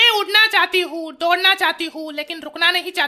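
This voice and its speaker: A cartoonish character voice from a woman, pitched extremely high. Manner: shrill, melodramatic.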